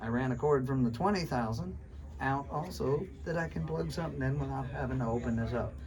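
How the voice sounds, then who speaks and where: Speaking at a fairly quick pace, a man uses a medium pitch with very wide pitch swings. Room echo is audible, and there is noticeable background noise. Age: 60s. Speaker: survival skills instructor. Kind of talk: classroom lecture. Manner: animated.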